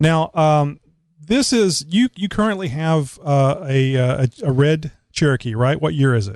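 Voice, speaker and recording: Lively intonation marks this fairly slow voice with a South Texas accent, recorded dry and close with no echo against a quiet background. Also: man, fairly high pitch for a man. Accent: Southern Texas. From Texas, Houston. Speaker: podcast host. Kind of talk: casual interview. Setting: Skype call.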